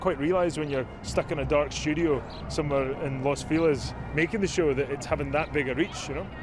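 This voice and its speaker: Very fast speech from a man with a Scottish accent, with noticeable background noise. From north east Scotland. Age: 30s. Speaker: actor. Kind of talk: interview answer.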